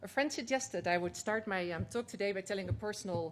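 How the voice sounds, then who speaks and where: Very fast speech with a Dutch accent carries lively intonation and vocal fry. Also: woman. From Netherlands. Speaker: climate organization executive. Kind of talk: conference speech.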